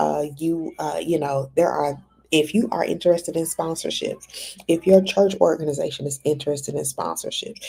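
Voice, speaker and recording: In a fairly low pitch, a woman speaks at a moderate pace with a dark, mellow tone and ordinary pitch variation. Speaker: ministry conference organizer. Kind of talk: fundraising appeal. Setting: hotel room. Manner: speaking quietly; halting with fillers.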